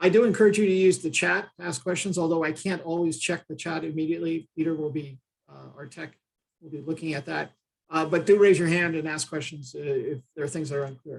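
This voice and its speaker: A man with an American accent talks at a very fast pace in a fairly high pitch. His intonation is fairly even, while his loudness swings widely. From United States. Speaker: trainer, disaster management consultant. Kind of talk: online training session. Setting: Zoom video call. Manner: hesitant, many filler uhs.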